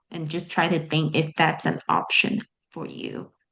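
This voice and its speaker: A woman speaks with vocal fry. Her pitch is fairly low. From Malaysia. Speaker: organizational psychologist. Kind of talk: interview answer.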